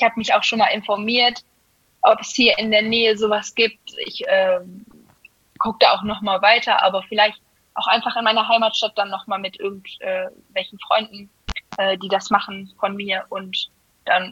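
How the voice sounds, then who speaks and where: A woman with a normal speaking voice talks at a moderate pace and a fairly high pitch. Her intonation is fairly even, while her loudness swings widely. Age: 20s. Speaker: amateur guard dancer. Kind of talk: casual interview. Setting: podcast.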